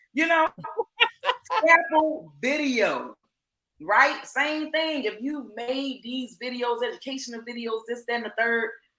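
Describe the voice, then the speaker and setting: A woman speaks at a fairly slow pace in a high pitch, her raised, projected voice bright and sharp. Her tone is animated, with ordinary pitch variation. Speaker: online business coach. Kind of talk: live stream teaching.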